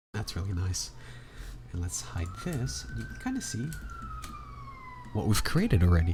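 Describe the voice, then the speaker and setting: A man keeps a moderate pace, stopping for long, frequent pauses, while audible room echo and noticeable background noise fill the recording. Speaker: 3D art tutorial creator. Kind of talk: tutorial. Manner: casual.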